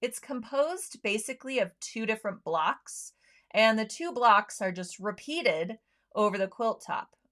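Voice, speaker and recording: With a plain, everyday voice, a woman speaks fairly slowly at a fairly high pitch on a very clean recording with a silent background. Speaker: sewing show host. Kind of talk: product demo livestream. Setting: livestream. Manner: casual with many fillers.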